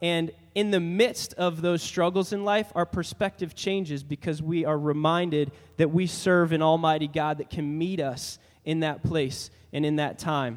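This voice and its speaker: A man's unremarkable speaking voice, fairly high in pitch, at a moderate pace with fairly even intonation. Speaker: worship leader. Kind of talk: prayer and worship introduction. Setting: church.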